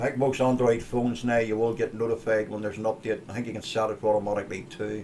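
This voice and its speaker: A man in a Northern Irish accent rattles along at a very fast pace with hardly any pauses, his medium pitch held in a monotone, flat intonation. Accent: Northern Irish (Ulster). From Northern Ireland (Ulster). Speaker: tech show host. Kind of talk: casual tech show talk. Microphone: stream had bad quality.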